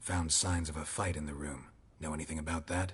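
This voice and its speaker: In a put-on character voice, a man growls in a very deep, low register with a deadpan tone at a fairly quick pace. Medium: video game. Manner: terse, clipped, deadpan.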